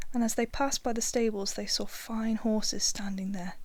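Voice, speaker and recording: Soft-spoken delivery at a moderate pace. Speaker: audiobook reader. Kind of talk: ASMR fairy tale reading for sleep.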